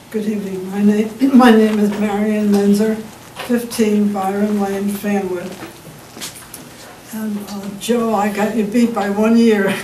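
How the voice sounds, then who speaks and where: The speech moves at a fairly slow pace, broken by long, frequent pauses, with a monotone, flat intonation. Noticeable background noise and audible room echo fill the recording. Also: woman, medium pitch for a woman. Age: 80s+. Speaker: resident making public comment. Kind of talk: public comment at council meeting.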